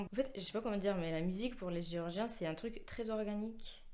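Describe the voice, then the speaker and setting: Medium pitch from a woman, with the room's echo clearly audible. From Georgia, near Kutaisi. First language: Georgian (speaking French). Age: 20s. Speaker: musician, pianist. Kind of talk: interview. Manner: hesitant, many fillers.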